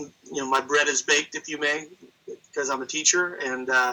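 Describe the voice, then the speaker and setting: A man speaking at a moderate pace. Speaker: wrestling announcer and teacher. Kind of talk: interview answer.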